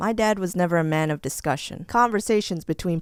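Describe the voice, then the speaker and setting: A woman's medium-pitched voice with lively intonation over music in the background. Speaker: animator storyteller. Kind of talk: animated storytime narration. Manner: casual, comedic.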